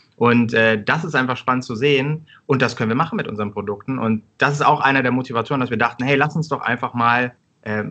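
A man with a normal speaking voice talks at a fairly quick pace. His pitch is medium, with ordinary variation. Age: 30s. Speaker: startup co-founder. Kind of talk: interview.

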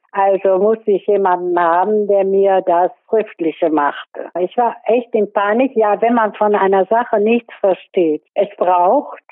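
A woman speaks at a very slow pace. Her pitch is medium with ordinary variation. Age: 80s+. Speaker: pensioner on basic income support. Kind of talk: testimony.

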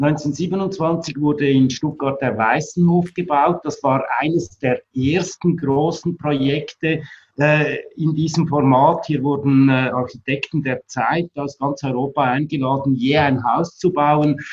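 A somewhat breathy man at fairly high pitch, very slow pace with hardly any pauses and fairly even intonation. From Switzerland. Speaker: architect and building exhibition director. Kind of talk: interview.

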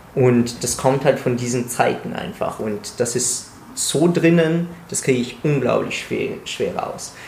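Amid noticeable background noise and audible room echo, a man speaks very slowly at medium pitch with ordinary pitch variation. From Italy. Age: 20s. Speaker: pharmacy student and calisthenics coach. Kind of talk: casual chat.

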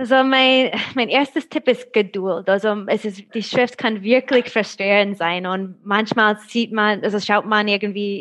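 In an American accent, a woman speaks slowly-ish at a fairly slow pace, with a fairly high pitch and fairly even intonation. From USA. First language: English (speaking German). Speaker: translator of old German handwriting. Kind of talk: interview. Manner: halting.

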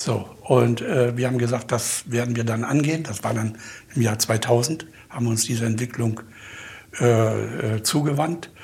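A man talks at a moderate pace and medium pitch, with fairly even intonation. There is noticeable background noise. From Mecklenburg, Germany. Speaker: company owner and chemist. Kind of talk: interview.

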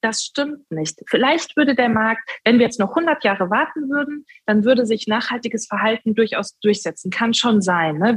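Somewhat breathy, the voice shows ordinary pitch variation in a dry, close sound with no echo. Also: woman. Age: 30s. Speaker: sustainable finance executive and political candidate. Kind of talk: interview.

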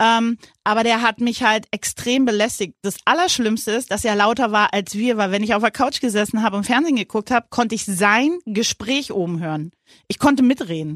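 In a very clean recording with a silent background and a dry, close sound with no echo, a woman talks at a fairly quick pace in an unremarkable speaking voice with ordinary pitch variation. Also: fairly high pitch for a woman. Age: 50s. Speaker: podcast co-host, mother of the host. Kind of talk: casual chat.

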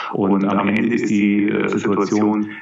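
A man's fairly low voice comes through over noticeable background noise. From Bavaria, Augsburg area. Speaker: ex-secret agent, author and speaker. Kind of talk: interview, casual chat. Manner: halting, many repetitions.

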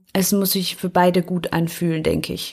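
A woman's fairly low voice, monotone and flat, at a moderate pace. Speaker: lawyer, podcast co-host. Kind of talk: casual chat. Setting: video call.

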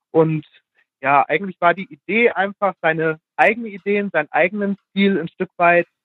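A man with a high pitch talks at a moderate pace. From Germany, Hesse (near Fulda). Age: 20s. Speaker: fashion blogger. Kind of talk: casual interview. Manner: hesitant, many fillers.

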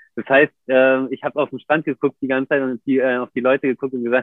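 A man with a medium pitch rushes along at a very fast pace, his intonation fairly even. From Germany, Berlin. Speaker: professional big wave surfer. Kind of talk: casual interview. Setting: video livestream. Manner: hesitant, many fillers.

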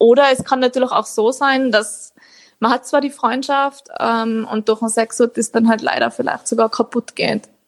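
A woman speaks at a moderate pace with a fairly high pitch. Her intonation is monotone and flat, and the sound is dry and close with no echo. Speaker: author. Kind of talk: interview.

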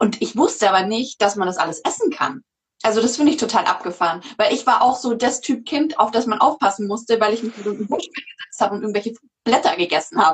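Somewhat breathy and fairly high-pitched, a woman speaks at a very fast pace with lively intonation. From Munich, Bavaria. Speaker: podcast host. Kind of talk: livestream interview. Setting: video livestream.

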